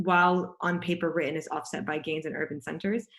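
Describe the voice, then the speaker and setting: A woman with a fairly low voice and fairly even intonation, on a very clean recording with a silent background. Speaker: panelist at a policy webinar. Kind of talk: presentation. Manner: fast.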